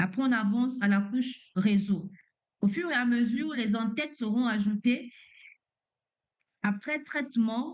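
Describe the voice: A woman's fairly high voice carries a slightly mellow tone.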